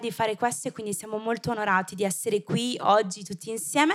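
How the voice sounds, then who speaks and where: A woman speaks in an animated tone. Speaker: youth group leader. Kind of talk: event introduction. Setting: church service with audience.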